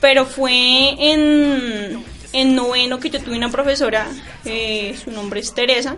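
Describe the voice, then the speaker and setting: Over noticeable background noise, a woman speaks at a very slow pace. Her pitch is high and her intonation fairly even. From Colombia, Boyacá. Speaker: university student. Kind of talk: radio interview.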